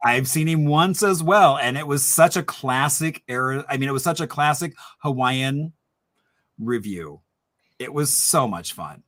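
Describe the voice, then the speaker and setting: An animated voice with an Indiana accent at a fairly slow pace, ordinary pitch variation, and a very clean recording with a silent background. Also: man, fairly high pitch for a man. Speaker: historian hosting a trivia happy hour. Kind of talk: casual quiz hosting.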